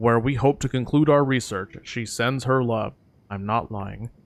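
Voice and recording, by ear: A natural voice for reading aloud, its pitch varying in an ordinary way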